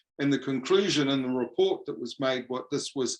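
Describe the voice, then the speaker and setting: A man speaks in a New Zealand accent. His pitch is fairly high, with ordinary pitch variation. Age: 70s. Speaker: professor. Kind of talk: lecture. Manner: halting.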